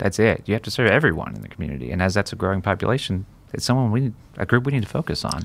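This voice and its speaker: A man with a fairly low pitch and vocal fry talks at a very fast pace, his pitch swinging very widely. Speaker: podcast host. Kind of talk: casual interview.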